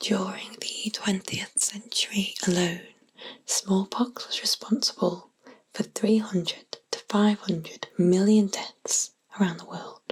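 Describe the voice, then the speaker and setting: A woman whispers in a British accent. Her pace is very slow. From England. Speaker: ASMR artist. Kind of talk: sleep story. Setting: binaural microphone. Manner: whispered.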